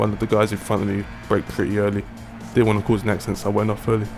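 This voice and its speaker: Music plays in the background while a man speaks. His voice has a fairly low pitch and a British accent. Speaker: sim racing gamer. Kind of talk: gameplay race commentary. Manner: casual.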